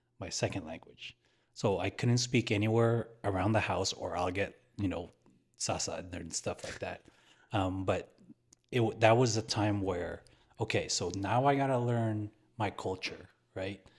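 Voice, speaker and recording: Heard in a very clean recording with a silent background, a man with an American accent speaks at a fairly slow pace in a fairly low pitch, somewhat breathy, with fairly even intonation and long, frequent pauses. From San Francisco, California. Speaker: podcast co-host. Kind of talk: casual chat.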